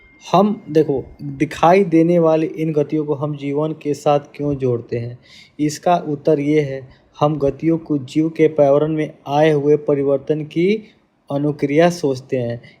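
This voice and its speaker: Very slowly, a man speaks in a fairly high pitch with fairly even intonation. His tone is dark and mellow. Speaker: teacher. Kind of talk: lecture.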